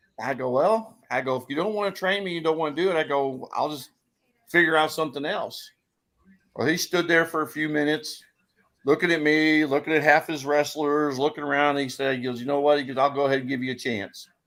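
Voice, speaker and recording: A man with an American accent talks fairly quickly in an ordinary speaking voice, his pitch fairly high with ordinary variation. The recording is very clean, with a silent background. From US Midwest, St. Louis. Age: 60s. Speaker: wrestling referee. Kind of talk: casual chat.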